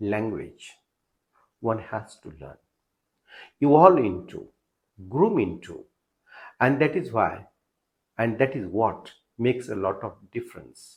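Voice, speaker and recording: Somewhat breathy and with lively intonation, a man with an American accent speaks with long, frequent pauses. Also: medium pitch for a man, fairly slow pace, big swings in loudness, quiet background. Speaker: literature teacher and YouTube narrator. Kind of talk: lecture.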